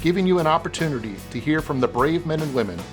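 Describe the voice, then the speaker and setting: Music plays behind a man with a fairly high pitch who talks at a fairly quick pace with lively intonation. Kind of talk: corporate narration.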